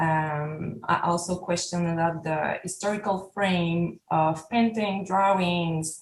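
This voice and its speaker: Very slow, somewhat breathy speech in a French Canadian accent, with hardly any pauses and fairly even intonation. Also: woman, fairly low pitch for a woman, very even loudness. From Quebec, Canada. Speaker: artist. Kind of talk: artist talk. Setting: video call. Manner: halting.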